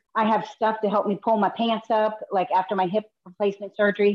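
A woman talks at a moderate pace. She has a normal speaking voice. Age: 50s. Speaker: person with rheumatoid arthritis and a limb difference. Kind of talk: casual chat.

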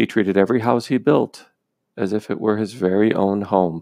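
A man with a normal speaking voice talks at a fairly low pitch with ordinary pitch variation, recorded with a dry, close sound with no echo over a quiet background. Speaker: podcast storyteller. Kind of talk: storytelling narration, fable-like read-aloud. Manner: measured, warm, gently paced storyteller cadence; earnest and clear, with a moral-tale tone.

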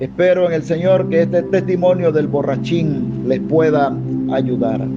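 A man's voice against noticeable background noise. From Panama. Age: 50s. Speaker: pastor. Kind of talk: sermon. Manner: hesitant, many fillers.

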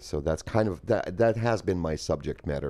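A man speaks with a Russian accent and a dark, mellow tone. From Soviet Union, Moscow and Ukraine. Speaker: poet and poetry event organizer. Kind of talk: casual interview.

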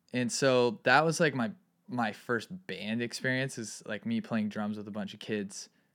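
Medium-pitched male voice with lively intonation at a moderate pace, on a very clean recording with a silent background. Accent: American. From California (Santa Barbara, Ojai). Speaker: music producer and composer. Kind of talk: casual chat.

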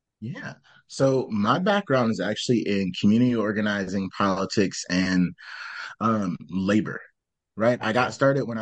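Against a quiet background, a man with an ordinary speaking voice talks at a moderate pace, his medium pitch showing ordinary variation. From Michigan. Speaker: startup founder. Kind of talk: casual chat.

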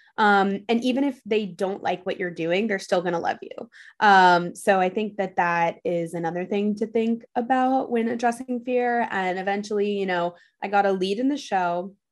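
Over a quiet background, a woman speaks at a moderate pace in a plain, everyday voice, medium in pitch with ordinary pitch variation. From US Northeast, New York City. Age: 20s. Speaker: content creator. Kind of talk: interview conversation.

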